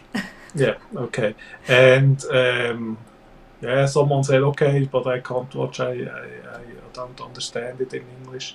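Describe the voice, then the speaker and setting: A man speaks in a monotone, flat intonation with big swings in loudness and long, frequent pauses. Noticeable background noise is present. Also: medium pitch for a man, fairly slow pace. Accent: Swiss. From Switzerland. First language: Swiss German. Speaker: live streamer and interviewer. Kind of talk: casual live stream chat. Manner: calm.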